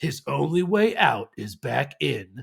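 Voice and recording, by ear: In a put-on character voice, a man speaks at a medium pitch and a fairly slow pace.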